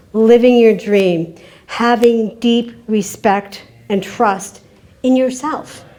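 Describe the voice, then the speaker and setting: A woman with an American accent, fairly high pitch and fairly even intonation, at a very slow pace, amid audible room echo and noticeable background noise. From Kentucky. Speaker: keynote speaker. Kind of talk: conference talk. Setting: stage with audience.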